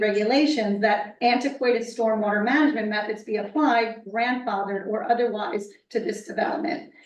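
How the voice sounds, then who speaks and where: There is noticeable background noise. A woman with a fairly high pitch talks at a fairly quick pace. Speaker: member of the public on a town environmental commission. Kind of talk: reading a prepared statement at a public hearing. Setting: municipal meeting room. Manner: fast.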